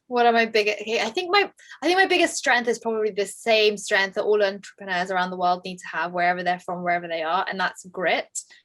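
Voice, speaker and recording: A woman with a London accent, medium in pitch, at a fairly quick pace. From England. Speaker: tech entrepreneur. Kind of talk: interview. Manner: fast.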